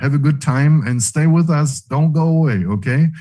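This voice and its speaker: A man's fairly high, somewhat breathy voice with a dark, mellow tone and ordinary pitch variation. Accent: non-native. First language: not English. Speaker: webinar host. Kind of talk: live online event hosting. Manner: halting.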